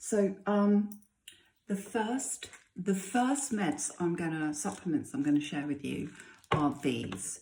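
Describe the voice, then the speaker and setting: A woman speaks at a medium pitch and a very slow pace, her dark, mellow tone somewhat breathy as her pitch swings very widely. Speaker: chronic illness vlogger. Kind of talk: casual tutorial vlog. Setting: home, early morning. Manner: hesitant, many fillers.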